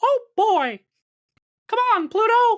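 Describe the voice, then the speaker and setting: Extremely high in pitch, the voice is a put-on character voice. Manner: cheerful.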